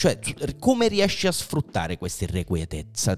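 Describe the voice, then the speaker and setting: A man's voice shows vocal fry and very wide pitch swings. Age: 30s. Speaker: podcast host. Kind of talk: casual chat. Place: studio. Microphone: studio mic.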